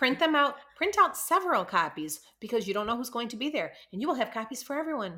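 A woman talks loudly at a very fast pace, high in pitch, with hardly any pauses. Her bright, sharp tone swings very widely in pitch. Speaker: podcast co-host. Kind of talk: casual chat.

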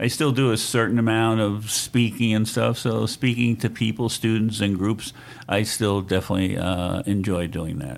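A man with an American accent talks at a moderate pace in a fairly low pitch, with ordinary pitch variation and hardly any pauses. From New York City. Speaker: retired law professor and poet. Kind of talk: casual interview. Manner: hesitant with frequent fillers.

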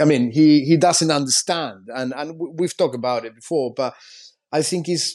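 Here a man speaks with a Spanish accent at a moderate pace. His pitch is fairly high, with ordinary pitch variation. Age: 40s. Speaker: journalist and documentary maker. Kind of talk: interview. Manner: halting.

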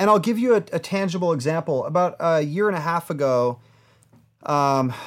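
A man speaks in a normal speaking voice at a fairly high pitch, with lively intonation. The recording is very clean, with a silent background. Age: 30s. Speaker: music producer and mix engineer. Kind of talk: casual interview.

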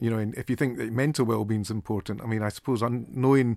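In a Scottish accent, a man talks at a very fast pace with ordinary pitch variation in a very clean recording with a silent background. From Scotland. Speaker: podcast host. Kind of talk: interview.

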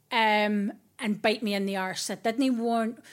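A woman speaks with a Scottish accent. Her pace is very slow. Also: very clean recording, silent background. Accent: Scottish, kept. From Scotland, Fife. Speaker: radio presenter. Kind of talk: casual chat. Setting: hotel room studio.

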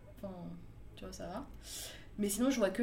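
A woman speaks at a fairly quick pace with fairly even intonation. Noticeable background noise and audible room echo fill the recording. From Paris. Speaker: video director. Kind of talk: casual interview.

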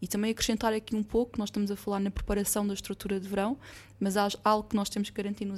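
A woman talks at a very fast pace in a monotone, flat intonation, somewhat breathy. The recording is very clean with a silent background. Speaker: logistics warehouse director. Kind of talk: corporate podcast discussion.

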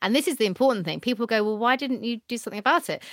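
The voice belongs to a woman with a British accent. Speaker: TV presenter and dating expert. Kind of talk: casual chat, podcast interview. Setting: video call from home bedroom.

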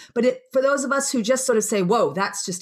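A woman speaks with a Boston accent at a very fast pace. The recording is very clean, with a silent background. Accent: Boston American. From US, Boston. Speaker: wellness coach. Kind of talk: radio interview.

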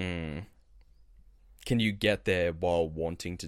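A man speaks at a very deep, low pitch and a fairly slow pace with fairly even intonation. The recording is very clean, with a silent background. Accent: Australian. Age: 20s. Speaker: recent university graduate. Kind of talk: casual chat.

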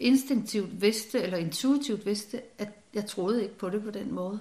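Against noticeable background noise, a woman speaks slowly-ish at a medium pitch, her intonation fairly even and her pace fairly slow. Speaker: former doctor and spiritual author. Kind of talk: casual interview conversation. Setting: at home in living room. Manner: hesitant, many fillers and repetitions.

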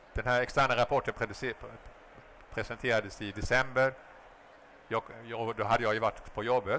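A man's bright, sharp tone, delivered at a fairly quick pace in a monotone, flat intonation. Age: 60s. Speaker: former diplomat and whistleblower. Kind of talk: interview. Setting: live at a trade fair.

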